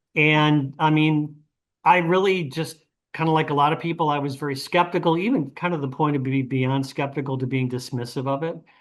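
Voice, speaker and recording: A man's unremarkable speaking voice, fairly high-pitched and fairly quick, over a quiet background. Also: fairly even intonation. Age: 60s. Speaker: retired fertility doctor. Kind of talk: panel interview.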